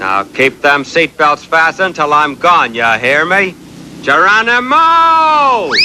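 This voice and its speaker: A man puts on a character voice, drawling in a Western US accent at a fairly slow pace with a high pitch and very wide pitch swings. Clear background noise can be heard. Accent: rural western drawl. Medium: cartoon. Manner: folksy, drawling, cocky.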